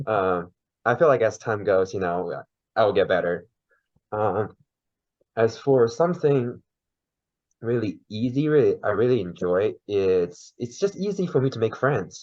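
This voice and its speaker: A man with a Chinese accent and a medium pitch talks fairly slowly with lively intonation. Long, frequent pauses break up his speech over a quiet background. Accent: Mandarin Chinese accent in English. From China. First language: Mandarin. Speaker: podcast guest. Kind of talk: interview.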